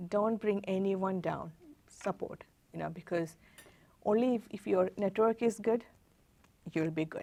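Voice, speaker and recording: A woman's medium-pitched voice in a dark, mellow tone, at a fairly slow pace, with a non-native accent. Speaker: tech executive. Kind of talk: interview. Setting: studio. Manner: halting.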